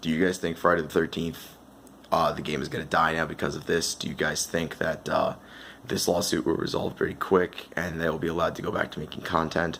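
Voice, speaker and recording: The voice is quiet and monotone, with flat intonation. It moves at a fairly quick pace. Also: man, very deep, low pitch for a man. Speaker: gaming commentator. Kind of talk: casual talk to camera.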